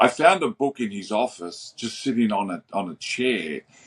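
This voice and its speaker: With an Australian accent and a medium pitch, a man talks at a moderate pace with lively intonation. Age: 60s. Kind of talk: interview.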